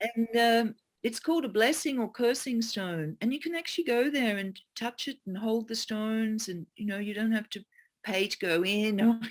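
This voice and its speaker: A woman with an Australian accent and a fairly high pitch speaks at a moderate pace with ordinary pitch variation on a very clean recording with a silent background. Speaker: geomancer and teacher. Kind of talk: interview answer.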